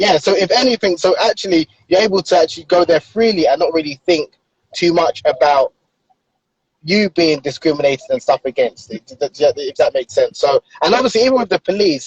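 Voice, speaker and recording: Speaking with a London accent, a man talks at a fairly quick pace. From London, England. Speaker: author. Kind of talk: casual interview chat.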